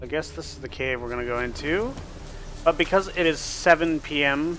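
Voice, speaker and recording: With noticeable background noise behind him, a man speaks in an American accent at a fairly high pitch, with ordinary pitch variation. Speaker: game streamer. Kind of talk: live gameplay commentary. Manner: casual, chatty.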